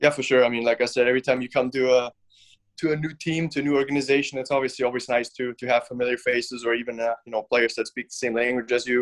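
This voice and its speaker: Very fast, monotone delivery with flat intonation and a German accent, in a dry, close sound with no echo. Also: man, medium pitch for a man. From Germany. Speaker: professional hockey player. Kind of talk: podcast interview.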